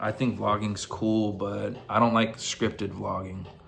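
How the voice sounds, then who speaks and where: Over music in the background, a man with an American accent talks at a moderate pace in a fairly low, flat, monotone voice. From United States. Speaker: vlogger. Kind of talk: casual monologue to camera. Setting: in his room. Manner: halting, stumbles over words.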